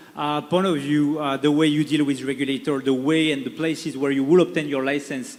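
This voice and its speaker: Speaking at a fairly quick pace, a man talks with a French accent. Noticeable background noise is audible. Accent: French accent (joked as Czech). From France. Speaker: panel moderator. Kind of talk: panel discussion moderation. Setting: stage with audience. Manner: hesitant, many fillers.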